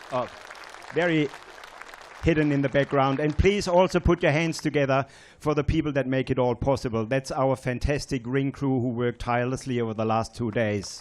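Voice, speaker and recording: Crowd noise fills the background as a man talks. His pitch is fairly high, with ordinary variation. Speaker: event presenter. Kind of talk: prize-giving speech.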